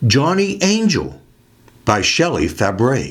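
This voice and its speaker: In a room with audible echo, a man with a fairly high pitch and vocal fry speaks very slowly, his pitch swinging very widely. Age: 70s. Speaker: music video host. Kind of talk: scripted narration.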